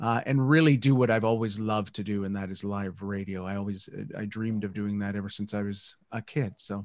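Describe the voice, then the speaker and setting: Against a quiet background, a man with a Canadian accent speaks at a fairly quick pace with hardly any pauses. His pitch is fairly low and his intonation fairly even. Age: 60s. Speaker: educator and radio broadcaster. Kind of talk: interview conversation. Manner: hesitant, many fillers.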